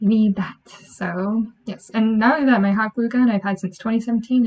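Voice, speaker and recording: A soft-spoken woman's voice, fairly high in pitch, at a fairly slow pace with fairly even intonation. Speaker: podcast host. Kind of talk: casual chat.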